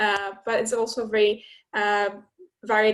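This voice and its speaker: A fairly high-pitched woman's voice with a Polish accent. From Poland. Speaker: student ambassador, graduate. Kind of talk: casual talk to prospective students. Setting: webinar video call.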